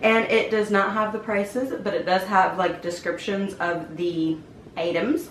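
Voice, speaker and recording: Noticeable background noise plus audible room echo. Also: woman. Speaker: beauty YouTuber. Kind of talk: casual unboxing vlog. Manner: chatty, informal.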